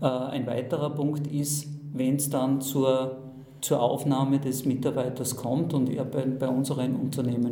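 Over noticeable background noise and audible room echo, a man talks at a very slow pace with monotone, flat intonation. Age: 50s. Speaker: manager. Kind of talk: interview. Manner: halting.

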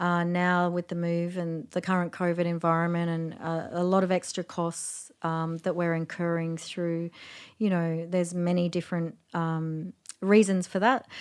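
In an Australian accent, the speaker keeps a monotone, flat intonation at a moderate pace on a very clean recording with a silent background. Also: woman, fairly low pitch for a woman. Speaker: festival founder.

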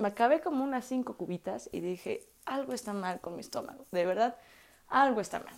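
Speaking at a moderate pace, a woman uses a fairly high pitch and an animated tone. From Mexico, Puebla. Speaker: podcaster. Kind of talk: casual monologue.

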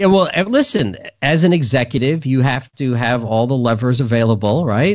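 At a moderate pace, a man talks with lively intonation in a plain, everyday voice. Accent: American. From New York City. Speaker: firearms instructor. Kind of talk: casual chat.

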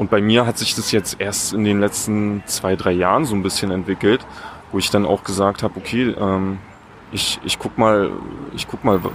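Against noticeable background noise, a man with a fairly low pitch speaks at a fairly quick pace in a monotone, flat way. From Eberswalde, Brandenburg, Germany. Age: 20s. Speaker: public relations staffer. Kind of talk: interview. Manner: hesitant, many filler sounds.

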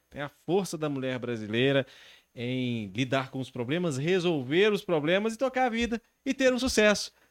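On a very clean recording with a silent background and a dry, close sound with no echo, a man talks at a fairly quick pace, his fairly high pitch swinging very widely. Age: 30s. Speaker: podcast host. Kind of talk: casual chat. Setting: live-streamed studio podcast.

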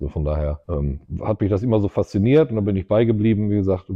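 A man's very deep, low voice at a very fast pace. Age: 50s. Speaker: entrepreneur and race track co-founder. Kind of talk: casual interview.

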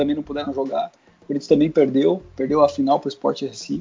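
A man talks with a fairly high-pitched voice. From Brazil, Guarulhos (São Paulo). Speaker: former football club press officer, now sports training entrepreneur. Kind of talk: casual interview chat. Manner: hesitant, repeats words.

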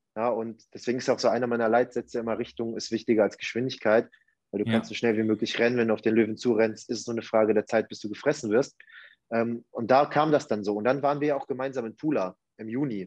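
Speaking very fast, a man keeps a medium pitch and fairly even intonation. The background is quiet. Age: 20s. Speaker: life coach. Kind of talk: casual interview chat. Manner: halting, many fillers.

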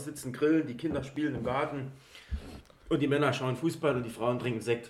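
Amid noticeable background noise and audible room echo, a man with a medium pitch talks at a fairly quick pace with ordinary pitch variation. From Saarland, Germany (Eppelborn). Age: 30s. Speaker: football club fan, podcast guest. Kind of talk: casual chat.

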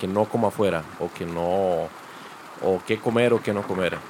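There is noticeable background noise behind a man's voice. He speaks at a fairly slow pace with ordinary pitch variation. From Costa Rica, Limón (Caribbean coast). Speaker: chef. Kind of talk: casual chat.

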